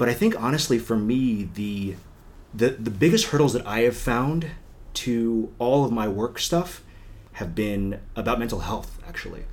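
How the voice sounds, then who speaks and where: This man has a normal speaking voice, a medium pitch, ordinary pitch variation and a moderate pace, with an American accent. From US, northern Virginia (DC suburbs). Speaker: political consultant. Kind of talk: interview.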